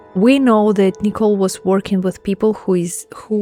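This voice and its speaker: Over music in the background, a woman with a non-native accent speaks in a monotone, flat intonation. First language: not English. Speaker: gaming content creator. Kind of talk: casual talk to camera.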